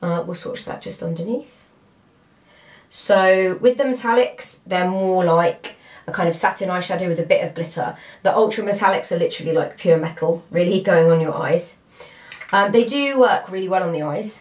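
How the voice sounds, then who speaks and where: There is noticeable background noise behind this woman. She speaks with a British accent at a moderate pace. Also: medium pitch for a woman, ordinary pitch variation. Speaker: beauty vlogger. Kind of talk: product review tutorial. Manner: casual, filler-heavy.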